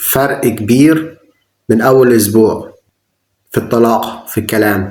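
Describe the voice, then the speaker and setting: A man with an Egyptian accent speaks at a very slow pace. His pitch varies in an ordinary way. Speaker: English teacher. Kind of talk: language tutorial talk to camera.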